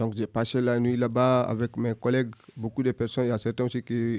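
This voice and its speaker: Dry and close with no echo, the voice carries a dark, mellow tone, moving at a moderate pace with monotone, flat intonation. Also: man. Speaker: young migrant delegate. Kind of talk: testimony.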